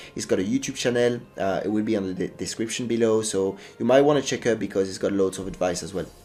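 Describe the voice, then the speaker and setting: A man with a French accent talks at a very fast pace with hardly any pauses, his fairly low voice showing ordinary pitch variation over music in the background. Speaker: gaming YouTuber. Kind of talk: gameplay tutorial. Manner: halting, with fillers.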